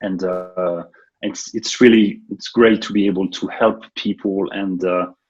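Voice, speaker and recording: In a French accent, a man speaks at a fairly low pitch with monotone, flat intonation. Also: fairly slow pace. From France. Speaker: software developer and consultant. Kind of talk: interview. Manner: hesitant, many fillers.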